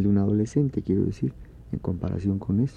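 A man talks in a plain, everyday voice, fairly low in pitch, with ordinary pitch variation. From Oaxaca, Mexico. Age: 40s. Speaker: orchestra conductor and composer. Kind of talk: radio interview.

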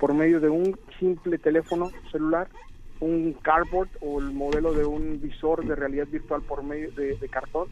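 This is a man with an ordinary speaking voice. His pitch sits fairly high. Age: 30s. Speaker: medical doctor, app project leader. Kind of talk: interview. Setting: phone call.

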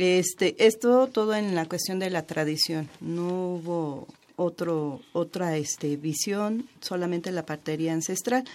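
At a very slow pace, a woman speaks with ordinary pitch variation. Her voice sits fairly low. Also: hardly any pauses. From Mexico, Chiapas. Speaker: traditional midwife. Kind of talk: radio interview.

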